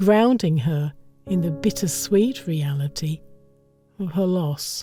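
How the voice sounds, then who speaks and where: A woman's fairly low voice in a British accent at a very slow pace, with ordinary pitch variation and music in the background. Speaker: voiceover artist and narrator. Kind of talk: audiobook short story narration.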